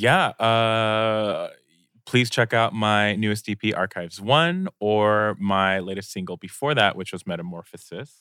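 With a normal speaking voice, a man of fairly low pitch talks at a fairly slow pace, using ordinary pitch variation. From United States, Korean-American family. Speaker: singer and music producer. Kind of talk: casual chat. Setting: studio.

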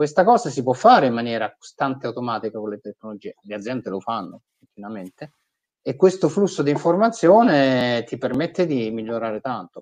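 In a dry, close recording with no echo, a man with a plain, everyday voice speaks at a medium pitch and a fairly quick pace, with lively intonation and big swings in loudness. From Italy. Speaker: nonprofit digital and fundraising executive. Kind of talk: interview.

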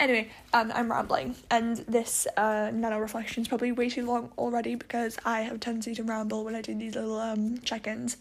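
A woman talks fairly quickly in a fairly high, monotone voice with flat intonation, hardly pausing at all. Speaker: podcast host and writer. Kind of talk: audio diary. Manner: casual, rambling.

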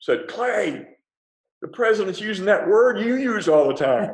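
There is audible room echo as a man with a Texan accent speaks at a moderate pace in a high pitch. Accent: Texan American. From Texas, Fort Worth. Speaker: former presidential advisor. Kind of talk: interview about leadership.

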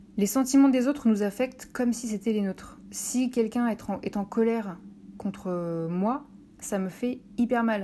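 Somewhat breathy, a woman with a fairly high pitch and a dark, mellow tone speaks at a fairly slow pace with ordinary pitch variation. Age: 30s. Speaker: podcaster. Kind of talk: solo podcast monologue. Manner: hesitant, many filler words.

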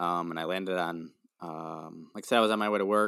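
A man talks at a fairly quick pace with a very deep, low pitch. His tone is bright and sharp, and his intonation fairly even. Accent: Upper Midwest. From Wisconsin, US Midwest. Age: 20s. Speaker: factory worker and mental health advocate. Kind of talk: casual interview. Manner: halting, many fillers.

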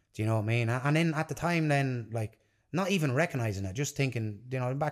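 A man with an Irish Midlands accent speaks at a very fast pace and medium pitch, with lively intonation. The recording is very clean, with a silent background. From Ireland (Tipperary), partly raised in London. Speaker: jiu-jitsu athlete and gym owner. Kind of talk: casual interview. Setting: in person at his gym.

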